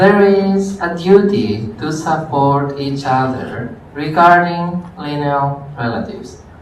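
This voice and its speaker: The speech moves at a very slow pace with hardly any pauses, over noticeable background noise. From Greece. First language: Greek. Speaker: university lecturer. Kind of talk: lecture.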